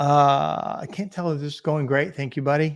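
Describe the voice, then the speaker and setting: The sound is dry and close with no echo, and the speaker has a slight Southern US accent. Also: man, very clean recording, silent background. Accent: slight Southern drawl. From Indiana, US Midwest. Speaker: business coach and livestream host. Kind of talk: live stream chat reading viewer comments. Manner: casual, halting.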